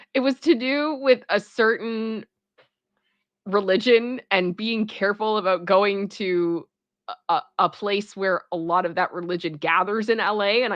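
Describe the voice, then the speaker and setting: A woman of medium pitch with a strong Toronto accent, at a fairly slow pace. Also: ordinary pitch variation. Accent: thick Toronto. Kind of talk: casual, hesitant.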